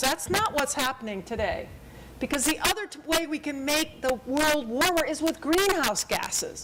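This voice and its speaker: Speaking at a moderate pace, a woman with a high voice and ordinary pitch variation is heard over noticeable background noise. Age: 60s. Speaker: climate science presenter. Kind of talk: public talk with slides. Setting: public forum.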